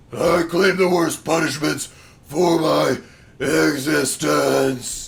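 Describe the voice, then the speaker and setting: A man puts on a raspy character voice pitched fairly high. He delivers it at a very slow pace. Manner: serious, intense.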